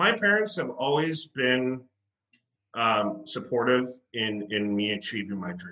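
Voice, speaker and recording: A man's ordinary speaking voice at a medium pitch, with lively intonation and a fairly slow pace. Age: 30s. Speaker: actor and singer. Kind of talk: casual interview. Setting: video call.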